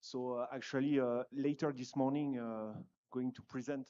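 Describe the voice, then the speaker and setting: The speaker has a French accent and a dark, mellow tone. The delivery is monotone and flat, at a moderate pace. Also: man. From France. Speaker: conference panelist, dairy company representative. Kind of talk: panel discussion. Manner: hesitant, many fillers.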